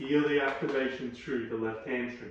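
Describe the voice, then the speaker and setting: A man with an Australian accent speaks at a moderate pace. There is noticeable background noise and audible room echo. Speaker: yoga instructor. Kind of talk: guided yoga class instruction. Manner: calm instructive cues.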